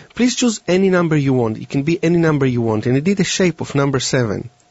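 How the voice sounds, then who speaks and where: A man with a fairly high pitch talks at a very fast pace with lively intonation. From Israel. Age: young. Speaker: mentalist. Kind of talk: interview and live demonstration. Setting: studio. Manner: halting.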